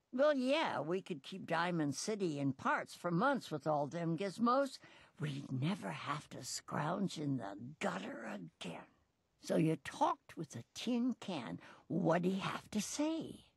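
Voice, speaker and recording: Using a put-on character voice, a woman speaks at a fairly low pitch and a fairly slow pace. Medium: video game. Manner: rough, blunt, slangy.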